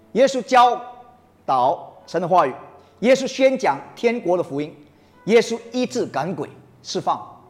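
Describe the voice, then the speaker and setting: A man's high, animated voice over music in the background, fairly slow in pace, with very wide pitch swings and long, frequent pauses. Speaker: preacher. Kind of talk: sermon to a congregation. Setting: church. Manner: animated, rousing call-and-response; emphatic, mixes Mandarin with English phrases.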